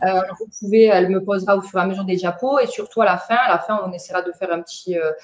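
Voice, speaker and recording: A woman with a strong Marseille accent talks very fast, with hardly any pauses and fairly even intonation. Background noise is noticeable. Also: medium pitch for a woman. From southern France, Bouches-du-Rhône. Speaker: trainer, dental centre manager. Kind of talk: webinar training presentation. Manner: hesitant, many fillers.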